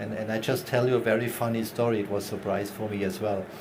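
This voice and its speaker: Speaking at a fairly quick pace with a non-native accent, a man is heard with audible room echo and noticeable background noise. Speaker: panel moderator, industry expert. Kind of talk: panel discussion.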